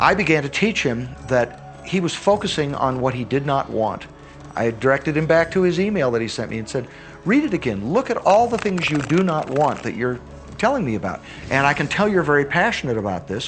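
Music plays in the background as a man talks at a fairly quick pace. His pitch is fairly high and swings very widely. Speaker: teacher. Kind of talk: testimony.

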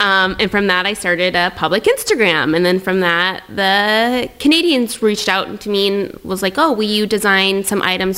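A woman with a Pacific Northwest accent at medium pitch, a moderate pace and ordinary pitch variation, over noticeable background noise. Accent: American (Pacific Northwest). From US Pacific Northwest, Tri-Cities, Washington. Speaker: entrepreneur and influencer. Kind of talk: casual interview chat.

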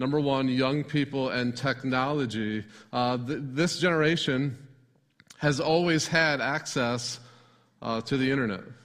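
A man with an American accent and an unremarkable speaking voice, medium in pitch, with fairly even intonation. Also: fairly slow pace. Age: 40s. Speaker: pastor. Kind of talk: sermon. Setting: church.

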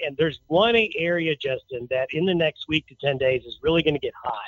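A man speaks in a normal speaking voice, fairly high in pitch, at a moderate pace. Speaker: meteorologist. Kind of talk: weather forecast interview.

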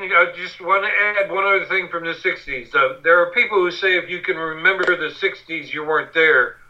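Over noticeable background noise, a man with a high pitch and an American accent speaks with fairly even intonation. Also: moderate pace. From Western Pennsylvania. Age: 60s. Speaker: war veteran and journalist. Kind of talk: interview.

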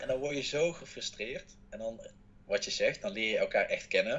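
A man talks at a moderate pace. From Netherlands. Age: 20s. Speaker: reality show contestant. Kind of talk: interview.

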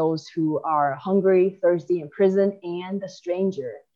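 With an American accent, a woman talks in a normal speaking voice at a medium pitch. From China, moved to the US at 10. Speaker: immigration advocate. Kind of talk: interview.

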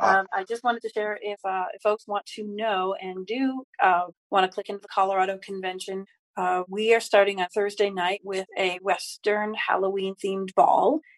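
A woman with an American accent uses a plain, everyday voice at medium pitch and a moderate pace, her intonation fairly even, her loudness swinging widely, in a dry, close sound with no echo. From upstate New York. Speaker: caller, hotel worker. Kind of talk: casual chat.

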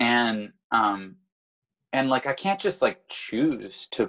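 Lively intonation marks this man's speech at a medium pitch. His pace is very slow. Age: 30s. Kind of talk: casual interview conversation. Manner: halting, with frequent repeated words.

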